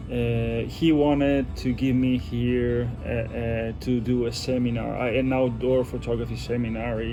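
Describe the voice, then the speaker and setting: Over background music, a man talks fairly slowly with hardly any pauses. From Italy. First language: Italian. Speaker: knife designer and outdoor photographer. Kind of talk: casual interview. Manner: halting, many fillers and restarts.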